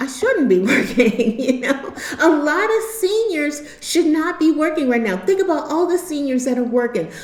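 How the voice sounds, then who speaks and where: In an American accent, a woman with a high voice talks at a moderate pace with hardly any pauses and very wide pitch swings, amid audible room echo and noticeable background noise. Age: 60s. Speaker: YouTube commentator. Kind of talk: monologue vlog. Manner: halting; earnest.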